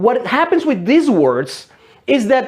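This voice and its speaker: His pitch swings over a very wide range. This man keeps to a moderate pace. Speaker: English teacher. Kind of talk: educational video talk. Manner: halting.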